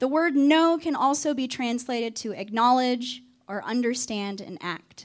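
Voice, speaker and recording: A woman with a Southern US accent, high in pitch, at a moderate pace, with ordinary pitch variation and big swings in loudness. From Arkansas. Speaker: campus ministry staff. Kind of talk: sermon.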